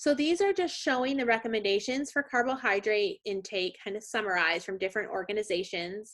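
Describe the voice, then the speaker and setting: A woman's fairly high-pitched voice at a fairly quick pace, with lively intonation and hardly any pauses. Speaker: nutrition professor. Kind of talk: lecture. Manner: fast.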